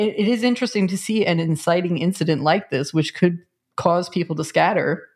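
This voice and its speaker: Speaking at a fairly quick pace, a woman has an ordinary speaking voice, a fairly low pitch and ordinary pitch variation. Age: 40s. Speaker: podcast co-host. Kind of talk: casual chat.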